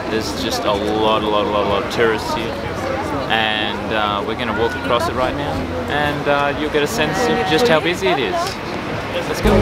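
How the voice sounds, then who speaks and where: Crowd noise fills the background as a man talks. His pace is moderate and his pitch variation ordinary. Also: dry sound with no echo. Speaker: travel vlogger. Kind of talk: casual vlog chat. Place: street. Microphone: phone near.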